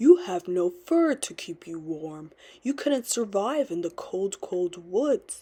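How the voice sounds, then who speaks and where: A woman puts on a growling character voice. She speaks at a medium pitch and a fairly slow pace. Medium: read story.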